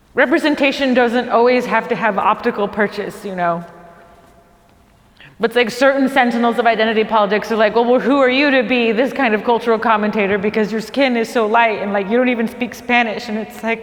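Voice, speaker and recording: A woman's fairly high voice at a very fast pace, fairly even in intonation, with noticeable background noise. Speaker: stand-up comedian. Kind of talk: stand-up comedy special to a small crew.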